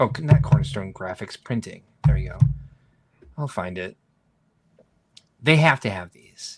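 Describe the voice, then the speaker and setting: A man with a fairly low pitch and vocal fry, at a moderate pace, with very wide pitch swings, big swings in loudness, and long, frequent pauses. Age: 40s. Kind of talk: casual chat. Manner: animated.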